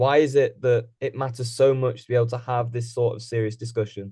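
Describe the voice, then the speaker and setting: In a British accent, a man speaks at a medium pitch with a somewhat breathy, dark, mellow tone. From England. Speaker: podcast co-host. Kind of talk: casual podcast discussion.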